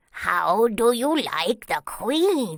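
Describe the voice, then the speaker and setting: A put-on character voice sounds female and sits fairly high for a woman. Its pitch swings very widely. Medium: read story.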